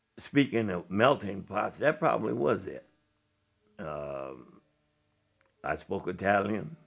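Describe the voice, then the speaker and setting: A man speaks very slowly in an American accent, his fairly low voice carrying vocal fry and very wide pitch swings. His loudness rises and falls sharply, with long, frequent pauses. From Illinois (Joliet). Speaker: jazz historian and storyteller. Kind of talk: interview. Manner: reflective.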